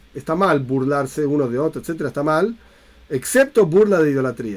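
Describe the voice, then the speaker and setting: A fairly high male voice at a very fast pace, with lively intonation. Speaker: Torah teacher. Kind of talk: lecture.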